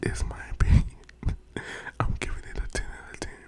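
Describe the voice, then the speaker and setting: Whispering over noticeable background noise. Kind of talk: casual talk to camera, book recommendations ramble. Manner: casual, conversational, chatty.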